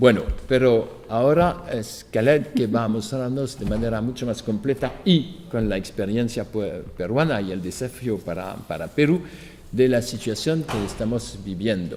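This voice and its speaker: A man with a non-native accent speaks at a fairly slow pace and medium pitch, using lively intonation amid audible room echo. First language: not Spanish (speaking Spanish). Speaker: lecturer. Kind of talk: lecture.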